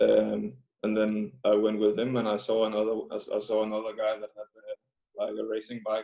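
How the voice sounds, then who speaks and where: A man with a Danish accent speaks at a moderate pace. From Denmark. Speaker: professional cyclist. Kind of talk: interview. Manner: halting, many fillers.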